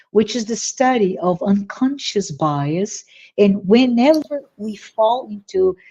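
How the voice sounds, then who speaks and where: A woman with a Portuguese accent, fairly high in pitch, somewhat breathy with a dark, mellow tone, lively intonation and a very slow pace. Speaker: spiritist speaker. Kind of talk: virtual talk Q&A.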